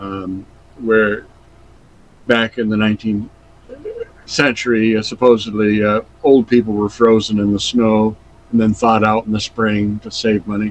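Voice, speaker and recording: A man with an American accent talks at a moderate pace in a monotone, flat intonation, leaving long, frequent pauses. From Vermont, USA. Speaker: comic illustrator, retired art teacher. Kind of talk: interview answer.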